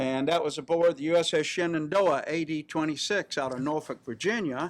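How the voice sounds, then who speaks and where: With a South Carolina accent, a man speaks at a fairly high pitch with ordinary pitch variation. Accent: Southern US (South Carolina). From US South, rural South Carolina. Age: 70s. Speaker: navy veteran. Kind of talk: interview, personal reminiscence. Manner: hesitant, many fillers.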